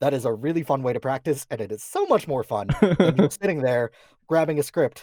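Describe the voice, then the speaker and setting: An unremarkable speaking voice from a man, fairly high in pitch with lively intonation. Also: dry, close sound with no echo. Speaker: voice actor. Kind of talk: casual talk about voice acting, interview answer.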